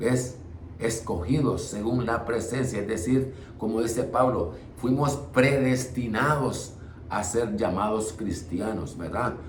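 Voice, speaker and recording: A man talks at a very slow pace with ordinary pitch variation, and audible room echo surrounds his voice. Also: medium pitch for a man. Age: 60s. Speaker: preacher. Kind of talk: bible study. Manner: halting.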